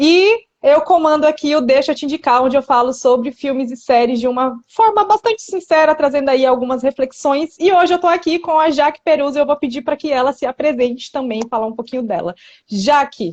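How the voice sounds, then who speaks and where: With a high pitch and lively intonation, a woman talks at a fairly quick pace with hardly any pauses. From São Paulo state, Brazil. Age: 30s. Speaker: content creator and podcast host. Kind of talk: casual interview chat. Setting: Instagram live.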